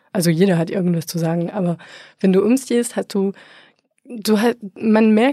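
In a French accent, a woman of medium pitch speaks with a dark, mellow tone, recorded dry and close with no echo. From France. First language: French (speaking German). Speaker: podcaster. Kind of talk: interview conversation. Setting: studio.

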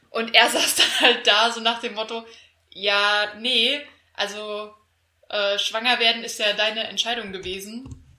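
Her voice fairly high, a woman speaks at a fairly slow pace with monotone, flat intonation. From Hesse, Germany. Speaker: podcast co-host. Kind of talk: casual chat.

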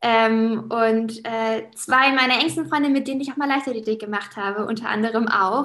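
On a very clean recording with a silent background, a woman speaks at a moderate pace with a fairly high pitch and fairly even intonation. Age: 20s. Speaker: teacher and former athlete. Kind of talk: interview.

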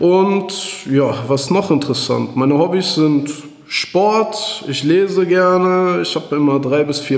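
A man talks at a fairly slow pace. Audible room echo and noticeable background noise surround him. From Germany, Iserlohn (Sauerland, North Rhine-Westphalia). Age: 30s. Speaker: author and entrepreneur. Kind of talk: interview. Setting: office, in person.

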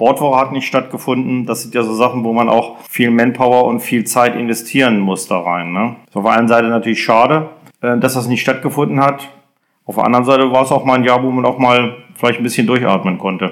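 A man speaks in a medium pitch with a normal speaking voice. His pace is fairly quick and his intonation fairly even. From Germany, moved around (Hesse, Lower Saxony). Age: 50s. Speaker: sports club chairman. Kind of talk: interview.

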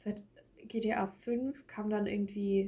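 Her voice is medium in pitch and somewhat breathy, with a dark, mellow tone and monotone, flat intonation. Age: 20s. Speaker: podcast co-host. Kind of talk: casual chat.

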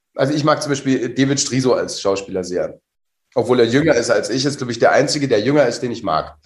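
Very fast and somewhat breathy, a man speaks at a medium pitch with ordinary pitch variation. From northern Germany, Mecklenburg (Rostock). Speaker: actor. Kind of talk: casual interview chat.

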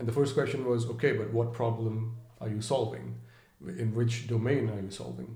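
A man with a dark, mellow tone and a somewhat breathy voice speaks at medium pitch and a moderate pace, his intonation fairly even. Audible room echo surrounds him. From India, Mumbai. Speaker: edtech startup founder. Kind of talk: interview. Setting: in person.

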